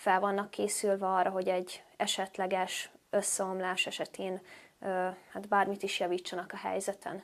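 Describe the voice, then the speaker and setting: The pace is moderate. It is a very clean recording with a silent background. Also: woman. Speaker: vlogger and interviewer. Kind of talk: interview.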